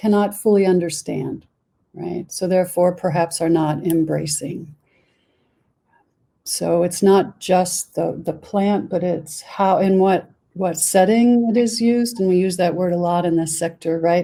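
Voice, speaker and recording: With an American accent, a woman speaks at a fairly slow pace. Her fairly low, dark, mellow voice holds a fairly even intonation. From United States. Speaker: board member of a psychedelic research organization. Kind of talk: panel discussion.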